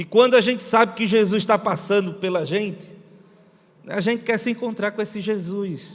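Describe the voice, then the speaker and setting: A man with a northeastern Brazilian accent speaks at a high pitch. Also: fairly even intonation, moderate pace. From Brazilian Northeast. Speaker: missionary pastor. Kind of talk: sermon.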